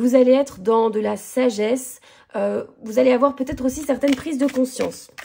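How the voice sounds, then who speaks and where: A woman speaks in a high voice with a dark, mellow tone and ordinary pitch variation. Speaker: tarot card reader. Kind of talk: tarot reading guidance video.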